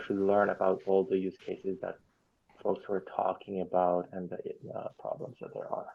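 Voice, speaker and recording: Speaking at a moderate pace, this man has a non-native accent. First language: not English. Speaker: software contributor. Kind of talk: online work meeting discussion. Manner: halting, many fillers.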